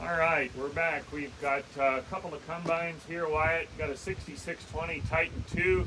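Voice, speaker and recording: A man with a relaxed tone at a moderate pace, ordinary pitch variation and noticeable background noise. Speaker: auctioneer, owner of the auction company. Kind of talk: casual walkthrough of auction equipment. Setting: outdoors, windy. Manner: conversational, relaxed.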